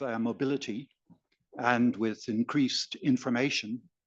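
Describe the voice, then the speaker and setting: The speaker has an Irish accent and a very slow pace. Pitch varies in an ordinary way. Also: man. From Ireland. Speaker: audience member. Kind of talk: audience question. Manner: halting.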